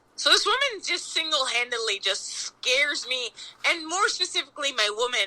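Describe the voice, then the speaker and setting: Over noticeable background noise, a woman with an American accent uses a raised, projected voice at a high pitch, moving at a moderate pace with very wide pitch swings. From Long Island, New York. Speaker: pastry chef. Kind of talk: casual chat. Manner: animated.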